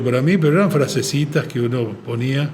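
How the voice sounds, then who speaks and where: A man's fairly high voice at a moderate pace, with ordinary pitch variation, audible room echo and noticeable background noise. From Argentina. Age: 70s. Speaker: advertising agency president. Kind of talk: podcast interview. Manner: halting, many fillers.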